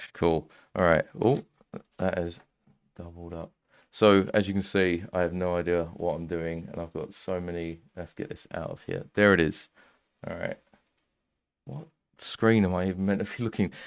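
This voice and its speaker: At a moderate pace with long, frequent pauses, a man with a very deep, low pitch keeps fairly even intonation but shows big swings in loudness, on a very clean recording with a silent background. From East London. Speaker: music producer and streamer. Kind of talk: live stream casual chat. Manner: casual, hesitant with fillers.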